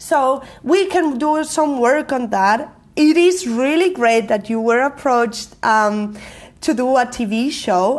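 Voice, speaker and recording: A woman speaks at a fairly slow pace in a Spanish accent. Her intonation is lively. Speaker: marketing coach and live show host. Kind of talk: live stream talk to viewers. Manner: loud; energetic.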